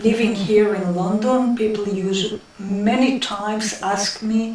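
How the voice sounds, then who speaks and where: In a room with audible echo and noticeable background noise, a woman speaks at a medium pitch with fairly even intonation. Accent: strong Israeli. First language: Hebrew. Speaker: interviewee in documentary. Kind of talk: interview. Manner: hesitant, many fillers.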